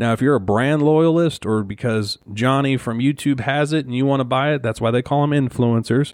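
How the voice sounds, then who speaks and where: In a plain, everyday voice, a man talks at a fairly quick pace over a quiet background. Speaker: podcast host. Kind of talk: solo podcast rant. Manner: ranting, worked-up, blunt; conversational, casual.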